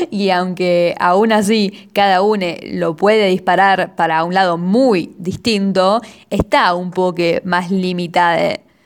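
Very slow speech from a woman, her intonation fairly even. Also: medium pitch for a woman. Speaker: amateur poet and podcaster. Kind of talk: casual monologue podcast.

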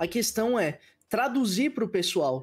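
On a very clean recording with a silent background, a man can be heard talking. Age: 20s. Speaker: Twitch streamer, game reviewer. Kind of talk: casual chat.

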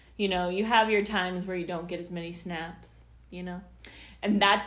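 A woman speaks at a medium pitch in a monotone with flat intonation, her voice carrying audible room echo. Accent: American. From Kansas City area, US Midwest. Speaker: poet and writer. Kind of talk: casual chat. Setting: podcast recording venue.

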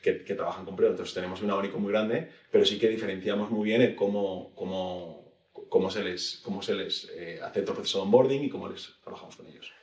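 The voice belongs to a man. His speed is moderate. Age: 30s. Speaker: tech company executive. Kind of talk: interview.

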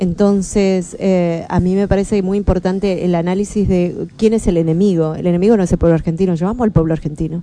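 Over noticeable background noise, a woman talks at a moderate pace with a medium pitch and monotone, flat intonation. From Argentina, Patagonia (Bahía Blanca). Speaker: Mapuche activist and author. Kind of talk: radio interview. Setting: radio studio.

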